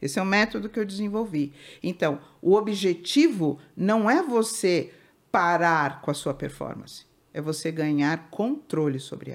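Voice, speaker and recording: In a very clean recording with a silent background, a woman with a plain, everyday voice talks at a fairly slow pace in a fairly low pitch, her intonation lively and her loudness swinging widely. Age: 60s. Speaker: family constellation therapist. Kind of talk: interview.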